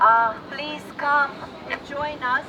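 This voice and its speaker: A woman's raised, projected voice with a high pitch, fairly even intonation and a Russian accent, amid noticeable background noise. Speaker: rally speaker. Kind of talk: public speech. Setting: outdoor rally. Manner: halting.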